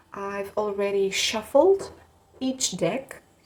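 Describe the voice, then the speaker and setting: Noticeable background noise sits behind the speaker. She is a woman with a fairly high pitch. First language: not English. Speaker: tarot reader. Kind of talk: tarot reading to camera. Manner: some hesitations and stutters.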